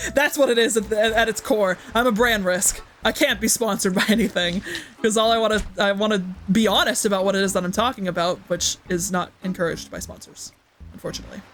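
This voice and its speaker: Over noticeable background noise, the speech races at a very fast pace in an upbeat tone. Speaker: gaming streamer. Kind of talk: casual live stream chat. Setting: live stream with chat. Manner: upbeat, hyper.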